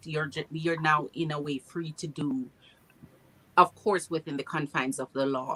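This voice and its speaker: The woman's pitch is very deep and low, with fairly even intonation at a moderate pace. Long, frequent pauses break up her speech, and the sound is dry and close with no echo. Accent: Jamaican. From Jamaica. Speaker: RV traveler. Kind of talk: casual chat.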